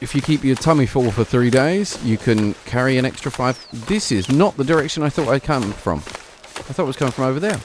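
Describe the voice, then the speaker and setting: Against noticeable background noise, a man with a British accent and medium pitch talks at a fairly quick pace with lively intonation and hardly any pauses. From Britain. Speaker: gaming streamer. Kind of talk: gameplay commentary. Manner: casual, relaxed.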